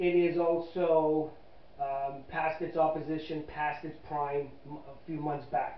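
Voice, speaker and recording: The speech has fairly even intonation, and room echo can be heard. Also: man. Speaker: amateur astronomer reviewing telescopes. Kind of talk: casual review talk. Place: home room. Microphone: camera far.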